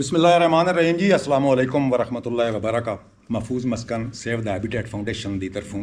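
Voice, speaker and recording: A man's ordinary speaking voice at medium pitch, with lively intonation. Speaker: senior member of a nature conservation foundation. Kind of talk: greeting and introduction to camera.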